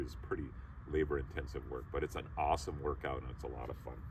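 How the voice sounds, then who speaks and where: This man speaks at a fairly quick pace. His voice has vocal fry. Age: 60s. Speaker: YouTuber. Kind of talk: tutorial. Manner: casual.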